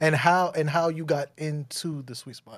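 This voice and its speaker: At a moderate pace, a man with a plain, everyday voice speaks at a fairly high pitch. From New York, Bronx. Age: 30s. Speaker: podcast host. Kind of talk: casual chat.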